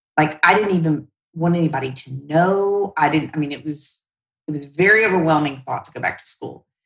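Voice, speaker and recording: A woman with a Southern US accent talks at a fairly quick pace in a very deep, low pitch with ordinary variation. Her loudness swings a lot. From US South, Shreveport, Louisiana. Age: 50s. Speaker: credit union CEO. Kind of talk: interview.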